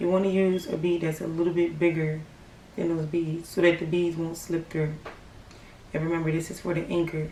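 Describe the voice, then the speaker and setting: A quiet woman speaks at a fairly quick pace in a fairly low pitch with monotone, flat intonation, amid audible room echo. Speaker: craft tutorial youtuber. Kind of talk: tutorial. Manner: quiet, hushed; casual, filler-heavy.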